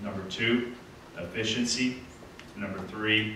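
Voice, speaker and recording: A man at a moderate pace, with noticeable background noise and audible room echo. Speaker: city council member and candidate. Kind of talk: candidate debate speech. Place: hall.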